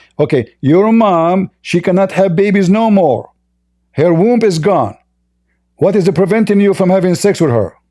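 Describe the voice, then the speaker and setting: A man with a high pitch and a dark, mellow tone speaks at a moderate pace with ordinary pitch variation. His loudness stays very even on a very clean recording with a silent background. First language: not English. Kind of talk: heated debate. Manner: animated.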